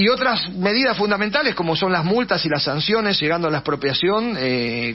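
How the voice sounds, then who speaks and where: Speaking with a Rioplatense accent, a man talks at a fairly quick pace with lively intonation. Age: 70s. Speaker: political candidate and teacher. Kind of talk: radio interview. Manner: fast; hesitant, many fillers.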